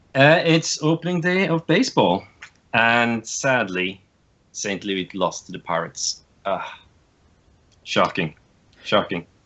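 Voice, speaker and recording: With a Norwegian accent, a man talks at medium pitch and a fairly slow pace. His pitch swings very widely, and he takes long, frequent pauses. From Norway. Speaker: podcast guest, card game player. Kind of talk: casual chat.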